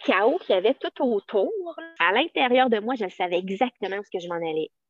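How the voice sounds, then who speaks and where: A woman with a Quebec accent, fairly high pitch, very wide pitch swings and a moderate pace. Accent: Québécois French. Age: 40s. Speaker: teacher. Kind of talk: casual chat.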